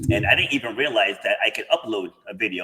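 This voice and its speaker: Noticeable background noise sits under this man's voice. He speaks very fast, with lively intonation. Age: 50s. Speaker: podcast host. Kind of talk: podcast interview.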